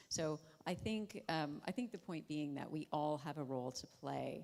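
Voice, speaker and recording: On a very clean recording with a silent background, a woman with an American accent speaks at a moderate pace in a very deep, low voice. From United States. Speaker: panelist. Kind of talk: panel discussion. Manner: loud.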